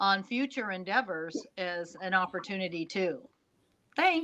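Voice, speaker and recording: Lively intonation from a woman, quiet background behind her. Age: 60s. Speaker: motivator panelist. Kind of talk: casual panel chat. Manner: halting.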